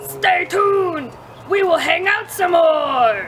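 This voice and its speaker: Cartoonish character voice at an extremely high pitch, very slow pace, clear background noise. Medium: puppet. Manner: loud, excitable.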